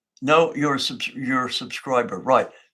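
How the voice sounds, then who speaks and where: A man's medium-pitched voice with a bright, sharp tone at a moderate pace. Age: 80s+. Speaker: engine builder and automotive channel host. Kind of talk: live stream talk and viewer Q&A. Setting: live online stream. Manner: casual, halting with restarts.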